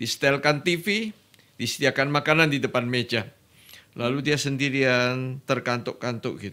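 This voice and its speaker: A man speaks fairly slowly in a bright, sharp tone. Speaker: guest. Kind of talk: interview answer. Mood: warm, lightly humorous. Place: studio. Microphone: studio mic.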